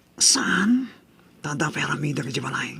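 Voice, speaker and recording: Using a put-on character voice, a man sounds raspy and fairly high. He keeps a moderate pace. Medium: audio drama.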